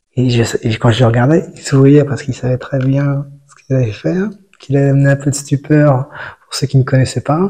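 A man's fairly high, somewhat breathy voice in a dark, mellow tone, fairly quick, with ordinary pitch variation and big swings in loudness. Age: 40s. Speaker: meditation practitioner. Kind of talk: testimony. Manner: halting.

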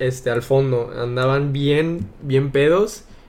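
A man at a medium pitch, at a very slow pace, with ordinary pitch variation. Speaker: youtuber. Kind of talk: casual chat.

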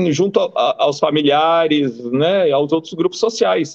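The man's voice sits high in pitch. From Brazil, Rio Grande do Sul. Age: 50s. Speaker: former football goalkeeper. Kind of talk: interview.

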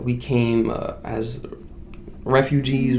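Noticeable background noise and audible room echo around a male voice of medium pitch. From Iraq (Baghdad). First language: Arabic. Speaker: entrepreneur and event organizer. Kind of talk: casual interview chat.

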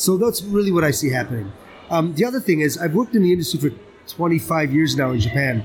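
At a very fast pace, a man with an American accent talks with very wide pitch swings. His pitch sits fairly high. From Ohio, US. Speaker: sake expert.

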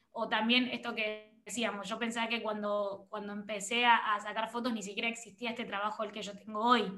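The voice has a bright, sharp tone and moves at a fairly quick pace with hardly any pauses. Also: woman, fairly high pitch for a woman. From Argentina. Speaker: photographer and content creator. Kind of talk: interview conversation. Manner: animated.

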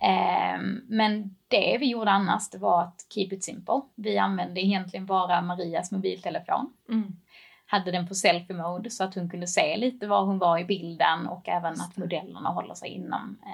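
Vocal fry colors a woman's speech, delivered at a moderate pace with fairly even intonation. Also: medium pitch for a woman. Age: 20s. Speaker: e-commerce manager. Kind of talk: casual interview.

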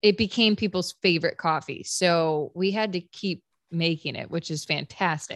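A woman with an American accent and a plain, everyday voice speaks at a moderate pace in a fairly low pitch with ordinary pitch variation, in a dry, close sound with no echo on a very clean recording with a silent background. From upstate New York (Fairport, Rochester area). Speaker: country singer-songwriter. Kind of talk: casual interview chat.

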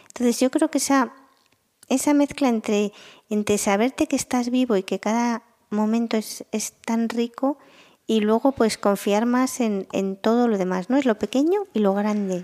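The sound is dry and close with no echo as a woman speaks at a fairly slow pace in a dark, mellow tone. Her pitch is fairly high, with ordinary pitch variation and very even loudness. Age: 50s. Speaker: marketing analytics executive. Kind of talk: interview.

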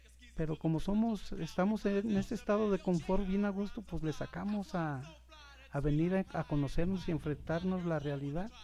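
His pitch variation is ordinary. This man has a high-pitched voice. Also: moderate pace. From Guadalajara, Mexico. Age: 60s. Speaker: recovering alcoholic, self-help group member. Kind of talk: testimony. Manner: halting.

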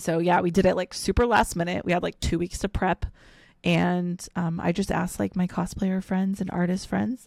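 Recorded very clean with a silent background and a dry, close sound with no echo, a woman with an ordinary speaking voice and an American accent speaks at a moderate pace and a fairly low pitch with fairly even intonation. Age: 30s. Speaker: streamer and cosplayer. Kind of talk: casual interview.

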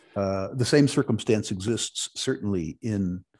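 A man with an American accent talks at a fairly slow pace in a fairly low pitch, with ordinary pitch variation. He has a normal speaking voice, and the background is quiet. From United States. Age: 60s. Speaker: retired investment executive and resource investor. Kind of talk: interview.

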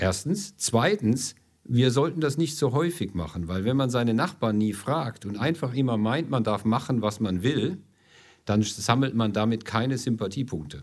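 This man's recording is very clean, with a silent background. He talks at a moderate pace in a medium pitch with lively intonation. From Ludwigshafen am Rhein, southwestern Germany. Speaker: energy company executive. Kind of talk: interview.

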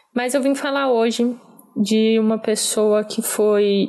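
Here is a woman with an unremarkable speaking voice. Her pitch is fairly high and her intonation fairly even. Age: 20s. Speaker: political consultant. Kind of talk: personal testimony.

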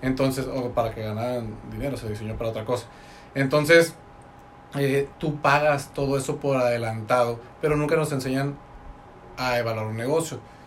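There is audible room echo as a man speaks at a moderate pace with a medium pitch. His intonation is fairly even, broken by long, frequent pauses. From Mexico, Tecate (Baja California). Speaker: network marketing entrepreneur, engineer. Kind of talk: casual interview chat. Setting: studio.

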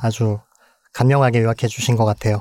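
Dark, mellow male tone, very cleanly recorded against total silence. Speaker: physician and medical anthropologist. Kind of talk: interview.

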